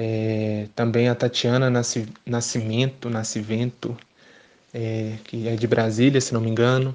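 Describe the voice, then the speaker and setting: Very slowly and in a monotone, flat intonation, a man talks at a medium pitch. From Belo Horizonte, Brazil. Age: 20s. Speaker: poet and theatre actor. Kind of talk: interview.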